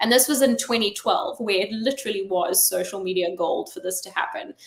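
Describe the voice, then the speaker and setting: This woman has a slight South African accent and lively intonation. She speaks at a fairly quick pace. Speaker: chief marketing officer. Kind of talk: interview. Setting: online live stream.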